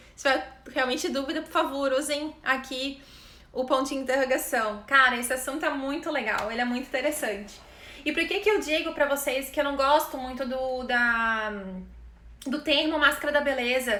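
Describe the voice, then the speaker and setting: Raised and projected, a woman's high, bright, sharp voice moves at a moderate pace with ordinary pitch variation and audible room echo. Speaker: image consultant. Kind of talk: live online class. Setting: live stream.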